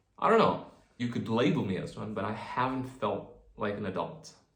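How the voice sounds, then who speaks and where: Audible room echo surrounds a man of medium pitch who speaks at a fairly slow pace with ordinary pitch variation. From New Zealand. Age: 20s. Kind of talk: personal vlog monologue. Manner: halting.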